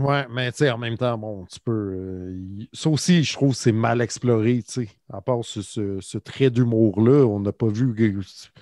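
Speaking very slowly in a Quebec accent, a man uses a medium pitch, ordinary pitch variation and a dark, mellow tone. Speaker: podcast co-host. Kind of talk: casual chat.

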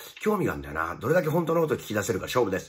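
A man speaks in a somewhat breathy voice. The background is quiet. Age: 50s. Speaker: comedian and stage performer; comedian. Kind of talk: casual video announcement. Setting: hotel room. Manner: hesitant with many fillers. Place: home room. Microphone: phone near.

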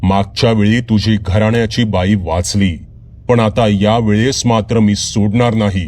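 Here is an unforced reading voice. Its intonation stays fairly even.

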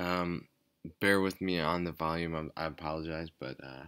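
Quiet, very deep, low male voice with fairly even intonation, on a very clean recording with a silent background. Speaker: gaming YouTuber. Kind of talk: gameplay commentary. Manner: quiet, low energy; hesitant, many fillers.

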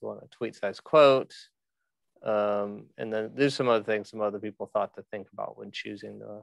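Dry, echo-free sound of a man with ordinary pitch variation over a quiet background. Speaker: podcast organizer. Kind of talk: screen-share walkthrough.

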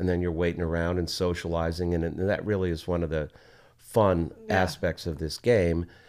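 A man's very deep, low voice, monotone and flat, at a moderate pace. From New Jersey. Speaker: pickleball pro and local musician. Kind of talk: casual interview. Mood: relaxed, enthusiastic. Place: studio. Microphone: studio mic.

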